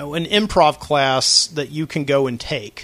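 A man's fairly high, bright, sharp voice with an American accent, at a fairly slow pace. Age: 30s. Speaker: podcast host. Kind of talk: solo casual talk show. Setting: studio. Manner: casual, rambling with fillers.

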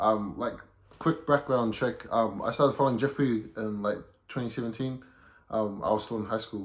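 A man talks with a New Zealand accent at a medium pitch. His pace is moderate and his intonation fairly even. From New Zealand, South Auckland. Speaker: photographer, creative. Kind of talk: casual chat.

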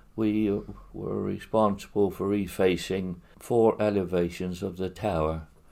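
This man's voice is very deep and low in pitch, with a dark, mellow tone. He talks at a fairly slow pace. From Hereford area, England (from Eastleigh as a child). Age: 90s. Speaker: retired builder and charity fundraiser. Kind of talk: interview. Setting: his own house. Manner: halting, many fillers.

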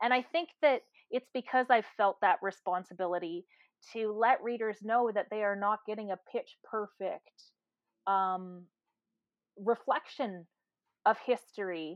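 A normal speaking voice with a Canadian accent, fairly slow in pace, with ordinary pitch variation. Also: woman. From Canada. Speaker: novelist. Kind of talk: interview.

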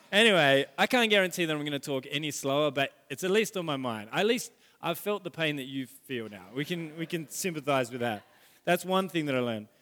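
A man's fairly high, bright, sharp voice, with lively intonation at a fairly quick pace. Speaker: pastor. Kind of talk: sermon. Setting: church. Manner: fast.

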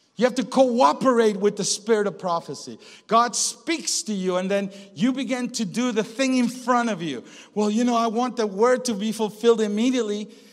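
This man's voice is high in pitch and animated in tone. He talks at a moderate pace. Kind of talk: charismatic sermon with prayer, preached to a live congregation. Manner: animated, rhetorical, pulpit-style with audience questions and call-and-response; urgent, fervent, shifting into intense prayer.

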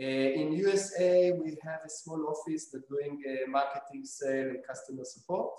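A man speaks with an Israeli accent. His pitch is fairly high and varies in an ordinary way. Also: moderate pace. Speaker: robotics company founder. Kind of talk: interview. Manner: halting.

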